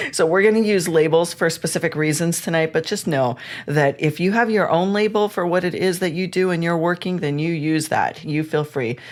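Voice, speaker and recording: At a fairly quick pace with hardly any pauses, a woman speaks in a fairly low voice with ordinary pitch variation. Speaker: spiritual teacher and podcast host. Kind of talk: live online class. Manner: fast.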